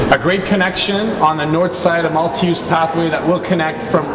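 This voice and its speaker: Loud background noise accompanies a man speaking at a moderate pace. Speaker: host interviewing a city official. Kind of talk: interview questions, community update. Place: hall.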